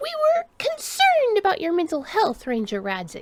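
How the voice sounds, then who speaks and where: A woman puts on a squeaky character voice at an extremely high pitch. Her pitch swings very widely. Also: moderate pace. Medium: read story. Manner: formal, stiff.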